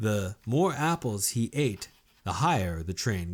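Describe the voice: Lively intonation in a plain reading aloud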